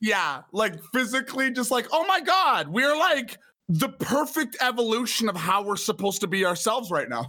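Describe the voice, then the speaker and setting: In a raised, projected voice, a man speaks at an extremely high pitch and a moderate pace, his pitch swinging very widely with hardly any pauses. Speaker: podcast guest. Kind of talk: casual chat.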